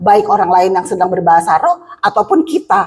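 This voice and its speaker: The woman's delivery is animated. Her voice leaps across very wide pitch swings. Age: 60s. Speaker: preacher. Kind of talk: sermon.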